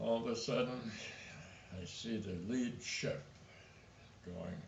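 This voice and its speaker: Audible room echo surrounds a man speaking at a very slow pace. He has a medium pitch and lively intonation. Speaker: war veteran. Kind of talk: testimony.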